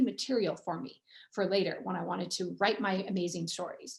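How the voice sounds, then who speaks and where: A woman speaks in a General American accent. Her tone is animated. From US Pacific Northwest, Everett, Washington. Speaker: author and former TV journalist. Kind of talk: author talk. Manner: fast.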